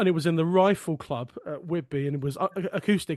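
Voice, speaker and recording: Over a quiet background, a man with a southern English accent talks at a fairly quick pace and fairly high pitch with ordinary pitch variation. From Sussex, southern England. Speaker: folk song podcast host and folk singer. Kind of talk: casual conversation.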